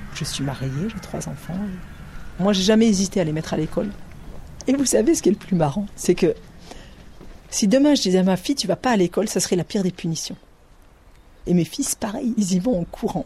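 A woman at a medium pitch speaks with lively intonation. Her pace is fairly quick, broken by long, frequent pauses. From Ariège, southern France. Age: 30s. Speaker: author recalling a rural childhood. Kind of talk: testimony.

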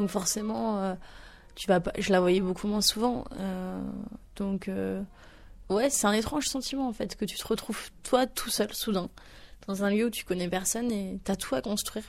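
With long, frequent pauses, a woman talks at a fairly slow pace in a medium pitch with ordinary pitch variation. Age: 20s. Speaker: interviewee. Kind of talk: testimony. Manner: halting, many fillers.

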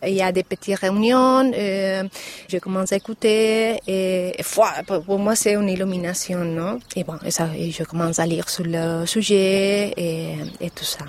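A woman talks at a very slow pace with fairly even intonation. Noticeable background noise sits behind her. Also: medium pitch for a woman. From Mallorca, Spain. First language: Spanish or Catalan (speaking French). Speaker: parent. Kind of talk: interview testimony. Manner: halting.

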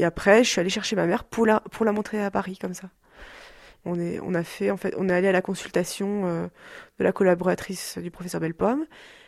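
A woman talks at a fairly quick pace in a plain, everyday voice of medium pitch. The very clean recording has a silent background and a dry, close sound with no echo. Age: 20s. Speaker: daughter of an electro-sensitive woman. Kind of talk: interview testimony. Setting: rural hut below a mountain cave.

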